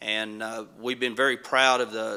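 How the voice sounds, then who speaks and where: Speaking at a moderate pace with a western North Carolina accent, a man has a bright, sharp tone and monotone, flat intonation on a very clean recording with a silent background. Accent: Appalachian mountain North Carolina. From mountains of North Carolina. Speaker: county commission candidate, police detective. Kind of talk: candidate forum introduction.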